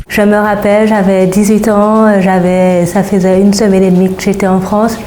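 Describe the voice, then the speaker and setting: In a room with audible echo and noticeable background noise, a woman speaks at a fairly slow pace with medium pitch and monotone, flat intonation. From Saint-Martin (Caribbean). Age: 20s. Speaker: psychologist, former student. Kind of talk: interview testimony.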